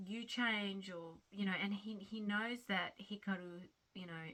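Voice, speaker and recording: This woman has a strong Australian accent and a bright, sharp tone at medium pitch. Her intonation is lively, though her pace is fairly slow. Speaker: crochet vlogger. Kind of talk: casual chat. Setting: home at night. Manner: halting.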